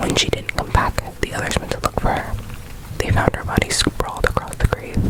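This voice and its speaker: Whispering at a moderate pace amid noticeable background noise. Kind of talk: scary story reading. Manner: whispered, soft.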